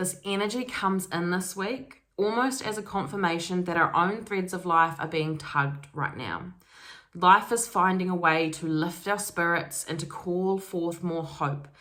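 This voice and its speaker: A woman at a fairly slow pace with a fairly low pitch, ordinary pitch variation and an ordinary speaking voice. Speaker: spiritual self-development YouTuber. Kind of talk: casual energy reading monologue.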